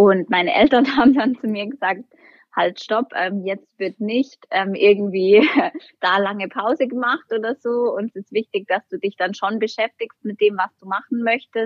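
An unremarkable speaking voice from a woman, fairly high in pitch, with ordinary pitch variation and a fairly slow pace. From Berchtesgaden, Upper Bavaria. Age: 20s. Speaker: bank marketing employee. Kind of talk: casual interview.

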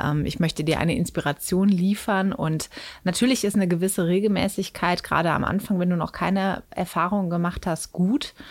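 This very clean recording with a silent background has a normal speaking voice, ordinary pitch variation and a moderate pace. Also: woman. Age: 30s. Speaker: sex educator and author. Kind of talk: interview. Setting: studio.

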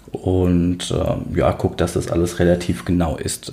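A man's very deep, low pitch with a dark, mellow tone. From Worms, Rhineland-Palatinate, Germany. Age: 30s. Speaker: podcast host. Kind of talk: casual chat.

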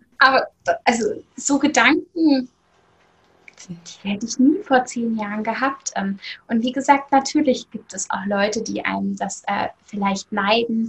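A woman speaks in a fairly high pitch at a fairly slow pace, with ordinary pitch variation. Her loudness swings widely, and she takes long, frequent pauses. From Germany, East Hesse. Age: 30s. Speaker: online shop owner and weight-loss influencer. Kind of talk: interview. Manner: hesitant with frequent fillers.

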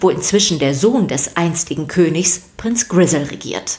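Lively intonation carries a woman's fairly low-pitched voice, which has a slightly mellow tone.

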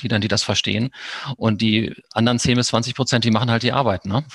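With an ordinary speaking voice, a man talks at a fairly quick pace in a medium pitch and fairly even intonation, the sound dry and close with no echo. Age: 50s. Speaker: sports club official. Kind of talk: interview.

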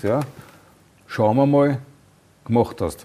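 Here is a man with an ordinary speaking voice. His pitch is medium, with ordinary variation. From Austria. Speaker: podcast host. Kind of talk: interview.

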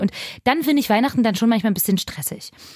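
A woman's fairly high, somewhat breathy voice. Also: very clean recording, silent background. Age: 30s. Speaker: radio show co-host. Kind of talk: casual chat.

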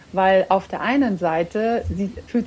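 A woman's dark, mellow tone at medium pitch, with fairly even intonation. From Romania, Hungarian border region; raised in Lower Bavaria from age 7. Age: 30s. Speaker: coaching client and entrepreneur. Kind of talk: interview. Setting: remote recording from home.

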